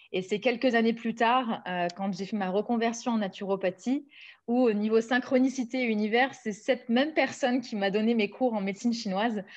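Against a quiet background, a woman speaks in a fairly high pitch. Her pace is fairly quick, with ordinary pitch variation. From southern France (Nice); southern France. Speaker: naturopath and author; guest. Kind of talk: interview. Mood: warm, enthusiastic. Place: home room. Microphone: video call.

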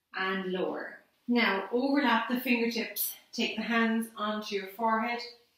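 Audible room echo surrounds a woman speaking at a fairly high pitch with fairly even intonation. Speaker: Pilates instructor. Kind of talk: guided exercise class, calm step-by-step instructions. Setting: online video class. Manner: calm, soothing, slow and measured, cueing breathing. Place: empty room. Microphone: camera far.

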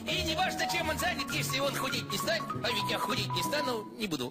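A man's cartoonish character voice at an extremely high pitch, bright and sharp, fast-paced, with big pitch swings and faint music in the background.

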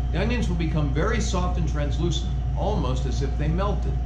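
Loud background noise runs through the clip. A man is speaking. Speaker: cooking instructor. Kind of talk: tutorial. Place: kitchen.

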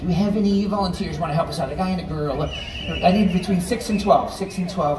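With noticeable background noise around him, a man speaks very fast. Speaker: stage magician comedian. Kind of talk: stage show patter. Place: stage. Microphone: pa.

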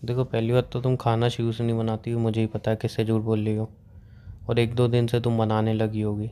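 A man talks at a moderate pace in a medium pitch. His intonation stays monotone and flat. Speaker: content creator. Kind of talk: casual chat. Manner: soft-spoken.

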